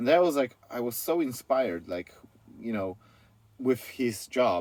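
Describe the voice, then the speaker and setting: A man at a moderate pace with lively intonation, in a very clean recording with a silent background. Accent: Polish. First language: Polish. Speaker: van conversion company founder. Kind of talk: interview. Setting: company office.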